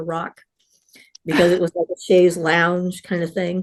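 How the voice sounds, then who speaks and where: The voice has an American accent and monotone, flat intonation. It moves at a moderate pace. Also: woman. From US Northeast, Rhode Island. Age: 70s. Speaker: witch and spiritual guest. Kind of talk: interview storytelling.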